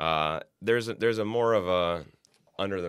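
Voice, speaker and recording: A man speaks at a moderate pace in a Midwestern American accent. His pitch varies in an ordinary way. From Ohio, Youngstown. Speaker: magazine editor. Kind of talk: casual chat.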